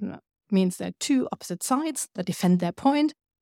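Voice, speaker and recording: The recording is very clean, with a silent background. A woman speaks at a medium pitch with ordinary variation and a dark, mellow tone. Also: dry, close sound with no echo. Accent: German. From Germany. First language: German. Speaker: writer and cultural scientist. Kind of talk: lecture.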